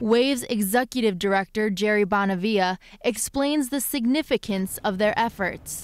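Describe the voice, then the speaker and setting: In a very clean recording with a silent background, a woman with an unremarkable speaking voice talks at a moderate pace in a fairly high pitch, with ordinary pitch variation, very even loudness and hardly any pauses. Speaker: TV news reporter. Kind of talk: TV news report.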